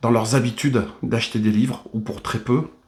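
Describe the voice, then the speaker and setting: Here a man speaks at a moderate pace. His pitch sits in the medium range. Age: 60s. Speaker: bodybuilder and fitness trainer. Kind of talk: video monologue. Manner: hesitant, many fillers.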